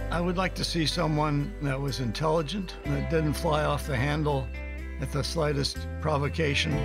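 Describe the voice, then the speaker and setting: A man talks at a moderate pace with an American accent. Music plays clearly in the background. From Ohio, USA. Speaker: retired teacher and Army Reserve commander. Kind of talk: political ad, voter testimonial to camera. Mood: calm, critical of candidate. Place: home room.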